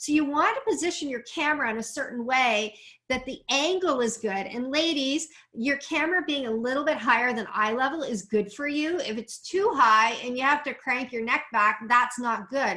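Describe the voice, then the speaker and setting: A woman's high-pitched, raised and projected voice with lively intonation. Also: moderate pace. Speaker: business coach. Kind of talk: tutorial.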